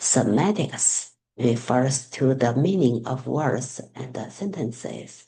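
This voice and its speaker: The speaker has a Chinese accent. The pace is very slow. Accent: Mandarin Chinese accent in English. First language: Mandarin Chinese. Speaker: student teacher. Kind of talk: class assignment presentation. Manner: halting.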